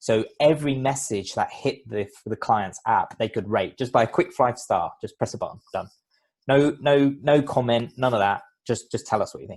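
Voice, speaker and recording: On a very clean recording with a silent background, a man with a London accent talks at a moderate pace with ordinary pitch variation. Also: medium pitch for a man. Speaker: business CEO and former lawyer. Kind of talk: podcast interview.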